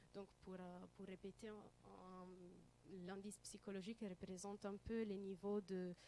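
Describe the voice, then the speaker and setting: A woman with an Italian accent speaks at a medium pitch and a fairly slow pace, her dark, mellow tone held in a monotone, flat intonation. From Italy. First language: Italian (speaking French). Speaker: student researcher. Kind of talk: conference presentation. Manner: halting, many hesitations.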